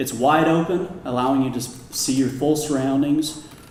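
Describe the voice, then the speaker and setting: Amid noticeable background noise, a man with a Midwestern US accent speaks with ordinary pitch variation. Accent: rural Midwestern American. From Kansas. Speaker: commercial real estate advisor. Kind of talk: public talk.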